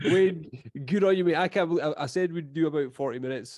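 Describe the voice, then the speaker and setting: A man with an Edinburgh accent talks at a very fast pace in a dark, mellow tone. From Scotland, Edinburgh. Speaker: podcast host. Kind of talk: casual chat.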